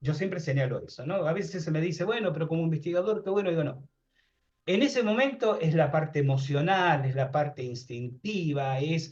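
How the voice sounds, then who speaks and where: With lively intonation and a fairly quick pace, this is an ordinary speaking voice. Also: man, fairly high pitch for a man. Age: 60s. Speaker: paranormal researcher and author. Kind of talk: interview conversation.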